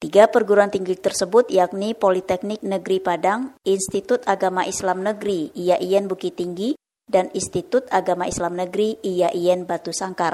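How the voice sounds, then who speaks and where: A woman speaks at a medium pitch in a dark, mellow tone with fairly even intonation. She hardly pauses at all. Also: moderate pace. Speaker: radio reporter. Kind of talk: news report.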